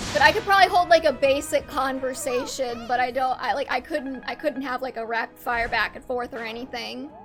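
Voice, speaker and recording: High-pitched woman at a fairly quick pace, hardly any pauses, big swings in loudness, ordinary pitch variation, music in the background. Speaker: video game streamer. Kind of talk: casual chat. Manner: halting.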